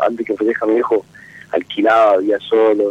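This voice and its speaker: Noticeable background noise sits behind a man speaking at a moderate pace in a dry, close sound with no echo. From Jujuy, Argentina. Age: 30s. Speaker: caller. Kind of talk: personal call-in talk. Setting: phone call. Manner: halting.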